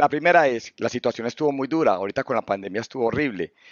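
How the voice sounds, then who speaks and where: A man talks at a fairly quick pace. He has an unremarkable speaking voice at a medium pitch. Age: 50s. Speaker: business owner and theologian. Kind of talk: interview.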